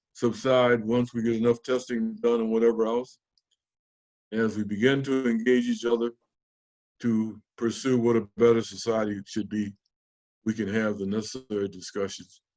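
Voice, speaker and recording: A man with an American accent speaks at a moderate pace and medium pitch. His intonation is monotone and flat. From US Northeast (Rochester, New York). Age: 80s+. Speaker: former mayor and civil rights activist. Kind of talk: interview conversation. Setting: video call. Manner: repetitive stammering.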